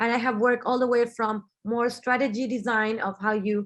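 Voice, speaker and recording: Someone with a Spanish accent speaks at a moderate pace over a quiet background. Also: woman. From Argentina, Buenos Aires. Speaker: business strategist and designer. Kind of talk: webinar talk. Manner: halting, with frequent fillers and repeats.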